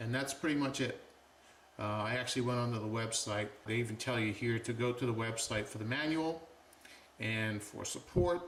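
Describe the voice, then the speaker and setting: A man talks at a moderate pace and medium pitch with ordinary pitch variation. Audible room echo and noticeable background noise surround him. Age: 60s. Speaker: watch reviewer. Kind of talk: product review tutorial. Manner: casual, conversational.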